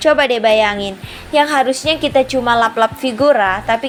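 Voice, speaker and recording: A woman's voice with ordinary pitch variation over music in the background. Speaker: housewife vlogger. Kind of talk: voice-over tutorial. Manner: loud, somewhat shouting; casual, chatty.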